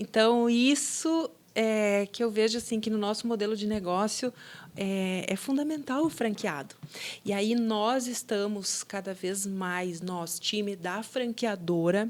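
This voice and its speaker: A woman with a southern Brazilian accent at a very slow pace, fairly high in pitch with ordinary pitch variation. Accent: gaúcho (southern Brazilian). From southern Brazil (Rio Grande do Sul). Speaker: business owner, franchise founder. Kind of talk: podcast interview. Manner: conversational, with fillers.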